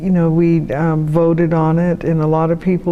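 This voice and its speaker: Over noticeable background noise, a woman with a fairly low pitch talks at a fairly quick pace in an American accent. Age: old. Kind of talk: interview answer.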